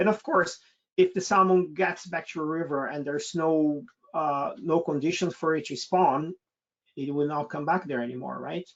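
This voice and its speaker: A man talks at a fairly high pitch. He has a Brazilian accent. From Brazil, state of Sao Paulo. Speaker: naturalist expedition leader. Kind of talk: webinar Q&A. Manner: hesitant, many fillers and repetitions.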